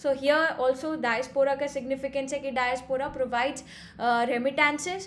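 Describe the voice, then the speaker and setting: At a fairly quick pace, a woman speaks in a high pitch with fairly even intonation. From India. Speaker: exam coach; exam prep lecturer. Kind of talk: lecture. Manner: hesitant with frequent fillers. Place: home room. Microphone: webcam.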